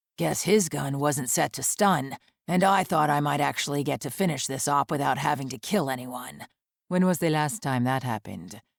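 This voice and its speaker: Putting on a growling character voice, a woman speaks at a very deep, low pitch with lively intonation at a moderate pace. The sound is dry and close with no echo, a very clean recording with a silent background. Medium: read story. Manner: casual, dryly humorous.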